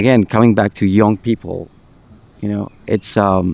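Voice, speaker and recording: Dry and close with no echo, a man's fairly low voice has a dark, mellow tone and a monotone, flat intonation. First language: not English. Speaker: podcast host. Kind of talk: casual chat. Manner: halting, repeats words.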